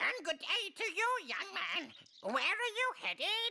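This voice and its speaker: A woman performs a put-on character voice at an extremely high pitch. Her pace is fairly slow. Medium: short film. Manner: chuckling, grandfatherly.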